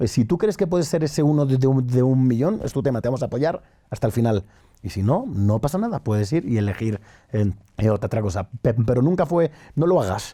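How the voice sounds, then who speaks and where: A man talks at a fairly quick pace and a medium pitch. His pitch swings very widely. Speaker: entrepreneur. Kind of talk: interview. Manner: halting.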